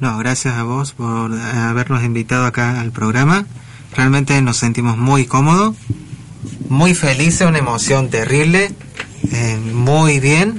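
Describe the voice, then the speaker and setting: Against noticeable background noise, a man of medium pitch speaks at a fairly slow pace with ordinary pitch variation. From Argentina, Córdoba city. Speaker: blind musician. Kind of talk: radio interview. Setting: radio studio.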